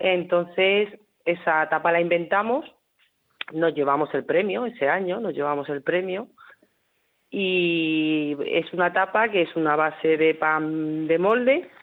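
A woman with a La Mancha accent speaks very slowly at a fairly low pitch, with ordinary pitch variation. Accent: La Mancha accent, noticeable. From Hellín, Albacete (Castilla-La Mancha). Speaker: restaurant cook. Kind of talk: radio interview.

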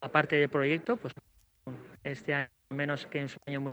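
A man at a fairly high pitch and a moderate pace. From Spain, Alicante. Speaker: chef. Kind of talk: interview. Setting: on location at his restaurant, radio mobile unit. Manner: halting.

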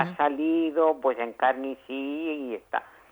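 At a fairly slow pace, this woman talks in a very deep, low pitch. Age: 80s+. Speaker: elderly service user. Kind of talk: phone interview.

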